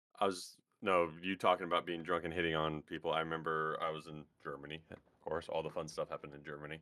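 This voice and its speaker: Very fast and monotone, a man speaks with a very deep, low pitch and a bright, sharp tone. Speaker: podcast guest. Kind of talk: casual chat.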